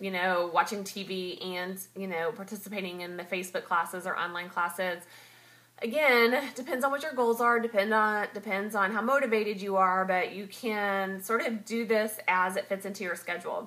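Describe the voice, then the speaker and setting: The woman's tone is bright and sharp, with ordinary pitch variation. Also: medium pitch for a woman, moderate pace. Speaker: direct sales entrepreneur vlogger. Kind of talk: casual vlog advice. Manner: hesitant, many fillers.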